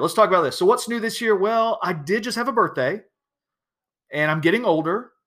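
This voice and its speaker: With a Southern US accent, this man talks at a fairly quick pace in a bright, sharp, animated tone on a very clean recording with a silent background. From US South, South Georgia. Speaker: podcast host, educational technology speaker. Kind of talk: casual solo podcast monologue.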